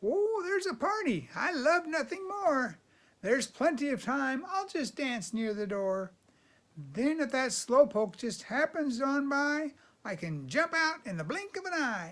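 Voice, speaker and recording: A man doing a put-on character voice talks in an extremely high pitch at a moderate speed. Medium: read story. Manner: cocky, bragging.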